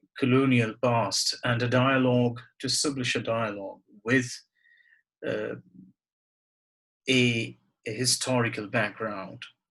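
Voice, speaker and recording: A man speaks at a medium pitch with monotone, flat intonation. Long, frequent pauses break up his speech. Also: fairly slow pace. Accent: Bengali. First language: Bengali. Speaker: poet. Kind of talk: reflective talk and poetry reading. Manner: halting, with repetitions and fillers.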